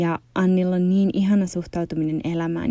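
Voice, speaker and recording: Her tone is dark and mellow, her pitch fairly low, and her intonation fairly even, all in a dry, close sound with no echo. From Finland. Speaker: podcast host and yoga teacher. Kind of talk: casual interview conversation; scripted intro.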